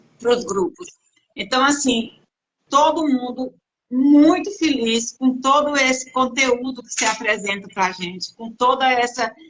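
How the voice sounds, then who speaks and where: A woman speaks fairly slowly in a high voice. Her loudness swings widely. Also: ordinary pitch variation. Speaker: patient group host. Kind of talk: live stream interview. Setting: online live stream. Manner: relaxed.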